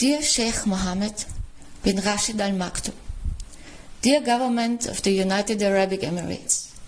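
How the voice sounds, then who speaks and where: A woman's moderately paced speech comes through with noticeable background noise. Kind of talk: reading a letter aloud.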